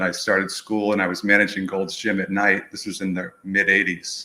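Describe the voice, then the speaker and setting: A man with an American accent speaks at a fairly quick pace with hardly any pauses, in a bright, sharp tone and a fairly low pitch. His intonation is monotone and flat, and the recording is very clean, with a silent background. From New England, outside Boston. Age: 60s. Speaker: movement educator. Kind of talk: interview.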